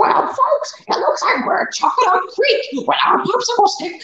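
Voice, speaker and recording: In a put-on character voice with extremely high pitch, the speaker moves at a moderate pace amid slight echo. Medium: game stream.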